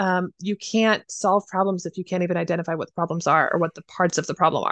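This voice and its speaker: In an American accent, a plain, everyday voice moves at a fairly quick pace with fairly even intonation, heard as a dry, close sound with no echo over a quiet background. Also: woman. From Idaho, US. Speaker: counseling graduate student. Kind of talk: interview.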